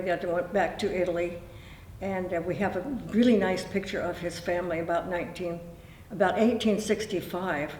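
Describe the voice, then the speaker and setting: Amid noticeable background noise and audible room echo, a woman at medium pitch talks at a moderate pace with fairly even intonation. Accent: Pacific Northwest. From Oregon, Tualatin area. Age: 80s+. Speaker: local elder interviewee. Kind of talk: oral history interview. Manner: halting.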